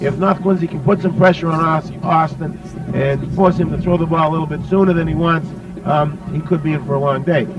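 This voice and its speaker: A man's high-pitched voice holds a fairly even intonation while noticeable background noise plays underneath. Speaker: sports commentator. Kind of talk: color commentary on a football broadcast.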